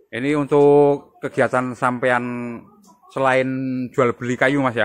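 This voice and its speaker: A man speaks at a very slow pace and a medium pitch in monotone, flat intonation, with big swings in loudness, in a dry sound with no echo and a quiet background. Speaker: goat farming video host. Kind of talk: on-site farm visit interview. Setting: outdoors at a goat pen. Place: farm machine. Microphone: phone near.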